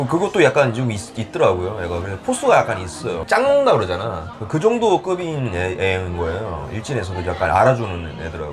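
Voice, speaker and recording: With music in the background, a man speaks at a fairly quick pace, his pitch swinging very widely. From South Korea, Ulsan then Seoul. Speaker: salsa class leader. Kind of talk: interview. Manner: halting.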